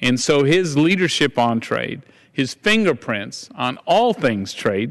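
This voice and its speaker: A man with a Texan accent speaks very slowly in a fairly high pitch, his voice showing vocal fry and very wide pitch swings against a quiet background. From Texas. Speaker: congressman. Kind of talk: floor speech. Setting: House floor.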